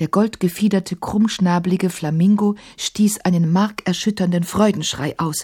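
The clip features an unforced reading voice.

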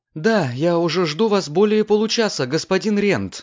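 Putting on a shaky character voice, a man speaks in a high pitch at a moderate pace.

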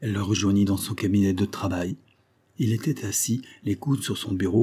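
The clip is plain reading aloud. Its intonation is fairly even.

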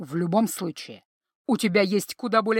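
The voice does plain reading aloud. The background is quiet.

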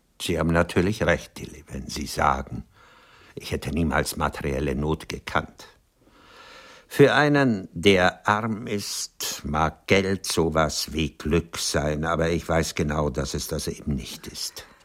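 Putting on a character voice, a man speaks at an extremely low pitch with a fairly bright tone, ordinary pitch variation and a fairly slow pace.

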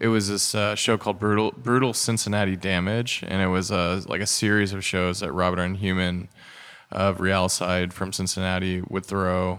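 In an American accent, a man speaks at a moderate pace with a very deep, low pitch and monotone, flat intonation. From US Midwest, rural Indiana. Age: 30s. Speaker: record store owner and noise musician. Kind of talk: interview. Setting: in a record store.

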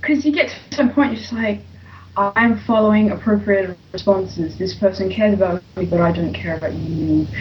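A woman with a British accent at a fairly quick pace, over noticeable background noise. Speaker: comic book reviewer. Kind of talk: casual banter, reviewing a comic.

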